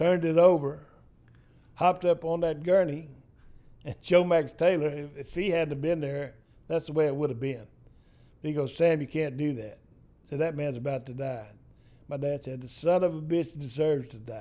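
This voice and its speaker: In a Texan accent, a man speaks at a fairly high pitch and a moderate pace in a dark, mellow tone, with ordinary pitch variation, big swings in loudness, and long, frequent pauses. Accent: Texan Southern US. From East Texas. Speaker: storyteller. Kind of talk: storytelling interview. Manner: animated.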